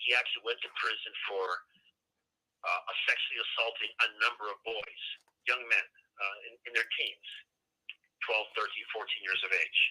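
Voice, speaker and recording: The man's speed is moderate. Long pauses come often. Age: 60s. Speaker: prison inmate discussing serial killers. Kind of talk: interview answers. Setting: live call from prison.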